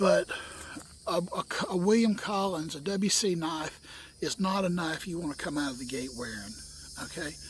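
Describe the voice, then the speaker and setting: A man speaks at a moderate pace with a high pitch, pausing often and at length. Noticeable background noise runs underneath. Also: lively intonation. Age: 60s. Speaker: bushcraft video maker. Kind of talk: casual tutorial. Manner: folksy, repeats okay often.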